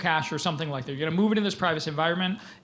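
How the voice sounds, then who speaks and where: Audible room echo surrounds a man's voice. He speaks at a fairly high pitch with ordinary pitch variation. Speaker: tech company CEO, keynote speaker. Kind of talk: conference keynote with Q&A. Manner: fast; casual, many fillers.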